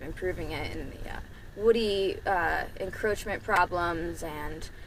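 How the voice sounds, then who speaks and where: The speaker is a woman. Audible room echo surrounds her voice. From New Mexico. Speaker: rancher. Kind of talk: interview testimony.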